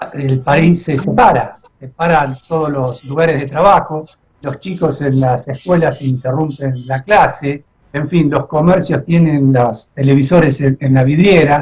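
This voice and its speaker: Somewhat breathy and fairly high in pitch, a man speaks at a fairly slow pace with fairly even intonation. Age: 60s. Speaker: radio host. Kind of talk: radio interview.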